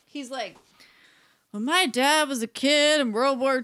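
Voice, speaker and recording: Raising and projecting her voice, a woman with a high pitch speaks at a fairly slow pace. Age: 40s. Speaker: podcast co-host. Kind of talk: casual chat. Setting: in a home, recording together in person.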